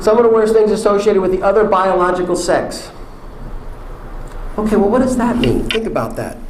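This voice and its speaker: A man with an American accent at a high pitch, very wide pitch swings and a very fast pace, with audible room echo and noticeable background noise. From New York. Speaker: public speaker on transgender topics. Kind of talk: talk to an audience.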